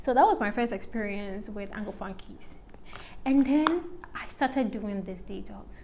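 A woman's voice with big swings in loudness over noticeable background noise. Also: fairly high pitch for a woman, ordinary pitch variation, moderate pace. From Ghana. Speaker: YouTuber, natural hair vlogger. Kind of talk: casual chat while doing makeup. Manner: chatty, filler-heavy. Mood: relaxed, conversational. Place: home room. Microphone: phone near.

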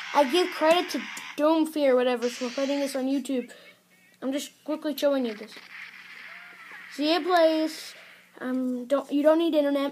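Long, frequent pauses at a moderate pace, fairly even intonation, and noticeable background noise. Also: woman, high pitch for a woman. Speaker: YouTube tutorial maker. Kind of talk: tutorial. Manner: hesitant, many fillers.

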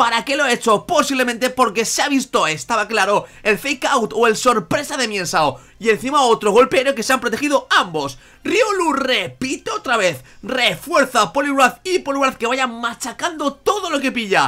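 A man speaks in an extremely high pitch with a bright, sharp tone and a raised, projected voice. His intonation is lively and he hardly pauses. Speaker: gaming YouTuber. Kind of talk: live commentary of a Pokémon battle, play-by-play like a sports announcer. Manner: enthusiastic, friendly.

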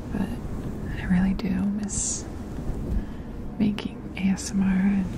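Against noticeable background noise, a woman speaks at a fairly slow pace, and the sound is dry with no echo. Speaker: ASMR creator. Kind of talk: ASMR whisper ramble. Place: home room. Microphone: studio mic.

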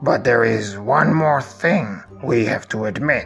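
This is a cartoonish character voice at a fairly slow pace. Clear music plays in the background. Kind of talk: absurd comedy cartoon. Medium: comedy sketch. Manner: smug, bossy.

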